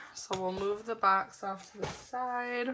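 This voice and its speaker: A woman's medium-pitched voice with fairly even intonation over noticeable background noise. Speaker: planner hobby vlogger. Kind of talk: casual unboxing vlog. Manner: casual with many fillers.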